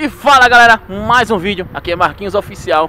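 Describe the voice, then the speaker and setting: Lively intonation from a man at a fairly quick pace, with light background noise. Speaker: ghost-hunting vlogger. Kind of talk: casual vlog chat. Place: open country. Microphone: phone near.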